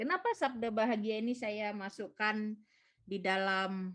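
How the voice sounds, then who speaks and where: A woman with a slight Papuan accent speaks at a fairly slow pace. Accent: slight Papuan accent after visiting home. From Papua, Indonesia. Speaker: lay preacher at prayer meeting. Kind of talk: sermon. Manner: conversational, uses gitu.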